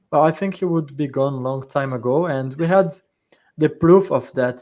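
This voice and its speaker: A man's plain, everyday voice, fairly high in pitch, at a moderate pace. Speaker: panel discussion moderator. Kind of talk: live panel discussion.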